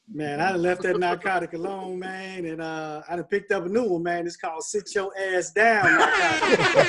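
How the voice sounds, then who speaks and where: A man with a high voice talks at a moderate pace, his intonation fairly even and hardly any pauses, over noticeable background noise. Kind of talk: casual chat.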